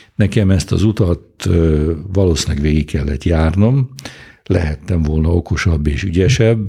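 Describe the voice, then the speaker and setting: Somewhat breathy and dark, mellow in tone, a man speaks very slowly in a very deep, low voice. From Hungary. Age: 70s. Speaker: economist and Oxford professor. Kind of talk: interview. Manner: halting.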